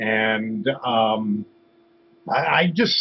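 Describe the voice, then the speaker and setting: A man's voice with very wide pitch swings. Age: 60s. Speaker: guest commentator. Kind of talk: casual chat. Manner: halting.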